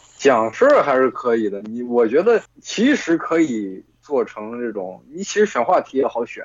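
In an unremarkable speaking voice, a man talks at a medium pitch and a moderate pace, with lively intonation and hardly any pauses. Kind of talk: casual chat among friends. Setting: voice call with bluetooth earphones. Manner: casual, profane.

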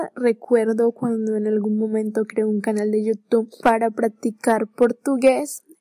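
A woman's fairly high, dark and mellow voice, fairly slow and monotone with flat intonation, hardly any pauses, and a dry, close sound with no echo. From Colombia. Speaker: podcaster. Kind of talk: solo personal podcast monologue.

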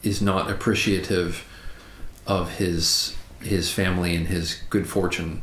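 In an American accent, the voice moves at a fairly slow pace with very even loudness and flat, monotone intonation over noticeable background noise. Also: man, very deep, low pitch for a man. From United States. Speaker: English teacher and podcast co-host. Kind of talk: casual chat.

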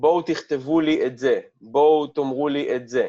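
A man speaks with a fairly high pitch and fairly even intonation. His tone is dark and mellow. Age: 40s. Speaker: lecturer and habits coach. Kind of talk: interview conversation. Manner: blunt, direct.

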